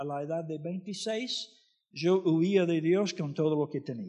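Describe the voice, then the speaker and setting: Very slow delivery with ordinary pitch variation against a quiet background. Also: man. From US, Florida. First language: English (speaking Spanish). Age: 60s. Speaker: missionary preacher. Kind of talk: sermon.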